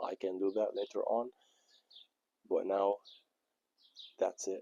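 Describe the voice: A man talks slowly in a low pitch with little pitch movement and a dark, mellow tone, the sound dry and close with no echo.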